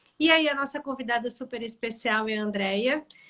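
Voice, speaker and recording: The speaker has a Florianópolis accent and talks at a moderate pace. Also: woman. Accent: Florianópolis (manezinho). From Florianópolis, southern Brazil. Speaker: HR tech sales lead and live show host. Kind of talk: live-stream interview. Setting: Instagram live video.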